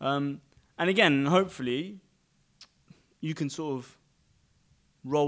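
In a very clean recording with a silent background, a man with a London accent speaks at a fairly high pitch with ordinary pitch variation. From London, England. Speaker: podcast guest. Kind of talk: casual chat.

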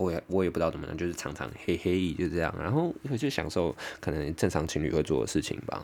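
With vocal fry and a very deep, low pitch, a man races along at a very fast pace, hardly pausing, his pitch varying in an ordinary way. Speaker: podcaster. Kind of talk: casual monologue.

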